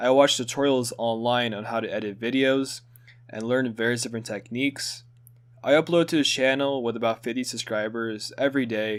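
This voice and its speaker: Fairly quick, mid-pitched male speech with fairly even intonation. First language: Hungarian. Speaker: student. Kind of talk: scripted narration.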